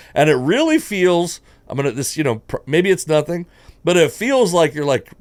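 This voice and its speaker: A loud, high-pitched man's voice with very wide pitch swings. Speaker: stand-up comedian. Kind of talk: casual chat.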